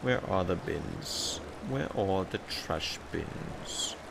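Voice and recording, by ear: A man puts on a character voice with a European accent, speaking at a very slow pace. Loud background noise fills the recording.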